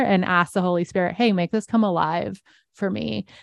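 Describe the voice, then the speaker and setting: An ordinary speaking voice moves at a moderate pace with ordinary pitch variation, recorded with a dry, close sound with no echo against a quiet background. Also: woman. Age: 40s. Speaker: author and Bible teacher. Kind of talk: casual interview chat.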